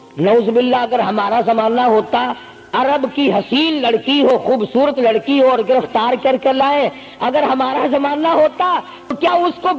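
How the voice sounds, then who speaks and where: A man speaks at an extremely high pitch over noticeable background noise. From Pakistan, Punjab (Multan). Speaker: Islamic preacher. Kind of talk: religious sermon.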